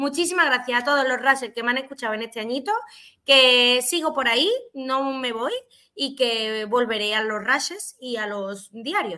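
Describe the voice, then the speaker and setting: Her voice is high, with a bright, sharp tone. The woman speaks at a moderate pace with ordinary pitch variation. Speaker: esports podcast co-host. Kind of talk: casual chat.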